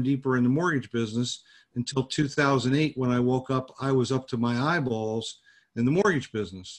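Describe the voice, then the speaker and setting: A man with an American accent talks fairly quickly at a medium pitch, with ordinary pitch variation. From New Jersey. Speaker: business networking group founder. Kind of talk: interview. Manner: halting.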